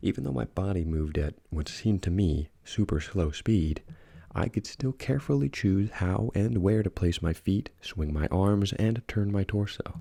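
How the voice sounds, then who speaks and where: A soft-spoken man with a very deep, low pitch, dark, mellow tone and somewhat breathy voice, in a dry, close sound with no echo. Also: ordinary pitch variation, moderate pace. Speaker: ASMR creepypasta narrator. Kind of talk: horror story reading.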